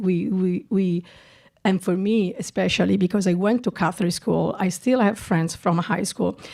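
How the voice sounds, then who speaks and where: A woman with a strong Italian accent, a dark, mellow tone, medium pitch and fairly even intonation, on a very clean recording with a silent background. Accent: thick Italian. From Italy, Milan. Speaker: documentary director. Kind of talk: festival Q&A. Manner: halting, many repetitions.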